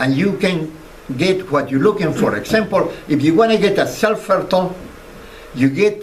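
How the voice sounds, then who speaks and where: With noticeable background noise behind him, a man talks at a fairly slow pace, high in pitch and lively in intonation. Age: 80s+. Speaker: dragon fruit grower. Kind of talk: public talk to an audience. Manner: charismatic.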